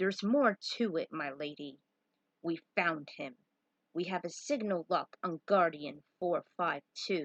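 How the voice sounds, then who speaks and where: The speaker uses a put-on character voice with lively intonation. The pace is fairly slow. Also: woman, fairly low pitch for a woman. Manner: formal, urgent.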